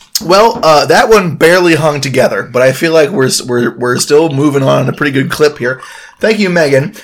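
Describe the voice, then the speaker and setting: Noticeable background noise accompanies a voice with lively intonation, delivered at a moderate pace. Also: man, fairly high pitch for a man. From New Jersey. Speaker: podcast host. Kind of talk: casual drunk banter. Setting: outdoors.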